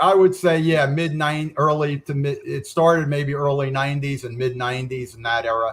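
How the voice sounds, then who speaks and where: Somewhat breathy, a man's fairly high-pitched voice carries fairly even intonation. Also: moderate pace, big swings in loudness. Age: 60s. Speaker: author and guest. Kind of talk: casual chat.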